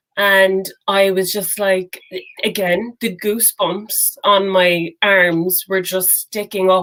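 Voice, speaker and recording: A woman with an Irish accent speaks at medium pitch in a flat, monotone way. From Ireland, Cork. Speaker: singer-songwriter. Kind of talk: interview.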